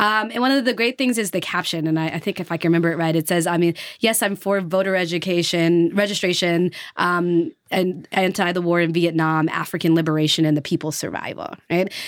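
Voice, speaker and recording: In an unremarkable speaking voice, a woman talks at a fairly low pitch and a fairly quick pace with ordinary pitch variation, on a very clean recording with a silent background. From US South, Nashville. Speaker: history professor. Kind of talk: interview.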